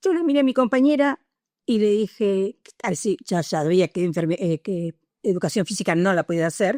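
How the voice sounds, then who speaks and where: The voice has a dark, mellow tone, very wide pitch swings and big swings in loudness, delivered at a moderate pace in a dry, close sound with no echo. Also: woman, medium pitch for a woman. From Argentina, Punta Alta (Buenos Aires province). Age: 60s. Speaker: retired nurse, war veteran. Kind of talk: oral history interview. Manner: hesitant, many filler sounds.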